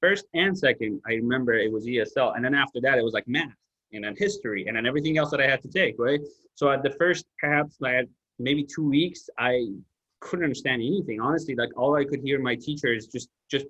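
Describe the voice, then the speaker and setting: The voice has a non-native accent and a bright, sharp tone. It moves at a fairly quick pace with ordinary pitch variation. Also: man, fairly high pitch for a man. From outside the US. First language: not English. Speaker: podcast host. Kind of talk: casual chat.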